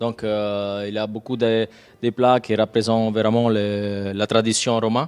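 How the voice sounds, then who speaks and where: A man with a slight Italian accent talks at a fairly slow pace, his fairly low voice monotone and flat. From Rome, Italy. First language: Italian (speaking French). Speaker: restaurant chef. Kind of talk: interview. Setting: hotel restaurant on location.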